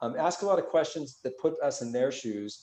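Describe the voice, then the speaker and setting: A man with a dark, mellow tone speaks at a very fast pace, his pitch varying in an ordinary way. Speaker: executive education instructor. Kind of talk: webinar presentation.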